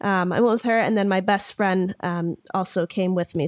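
A woman talks in an ordinary speaking voice with ordinary pitch variation. The sound is dry and close with no echo, over a quiet background. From Michigan. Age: young. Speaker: ukulele musician. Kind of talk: interview conversation. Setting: remote call.

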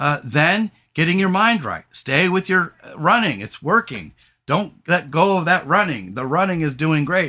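Loud and bright with a sharp tone, a man speaks at a moderate pace with a fairly high pitch and big pitch swings.

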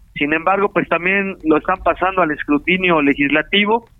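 A man speaks in a high voice for his sex. His pace is fairly quick, with ordinary pitch variation. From Mexico, Morelos. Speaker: state prosecutor. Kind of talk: phone interview. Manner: formal.

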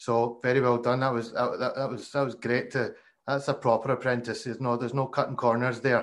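A man with a Glasgow accent, medium-pitched and monotone, at a fairly quick pace. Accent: Glasgow Scottish. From Glasgow, Scotland. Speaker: podcast host, former cricketer. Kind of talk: interview. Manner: hesitant, many fillers.

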